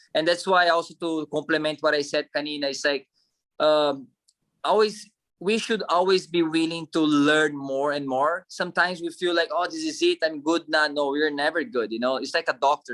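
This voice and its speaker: A strong non-native accent at a moderate pace. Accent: strong foreign. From Brazil. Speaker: actor and model. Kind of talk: interview.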